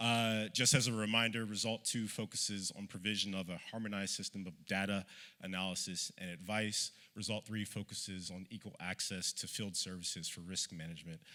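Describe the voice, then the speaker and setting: Fairly low-pitched man with an American accent, bright and sharp in tone, fairly even in intonation, at a fairly quick pace. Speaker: panelist, research director at a humanitarian NGO. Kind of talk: conference presentation read from notes. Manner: fast.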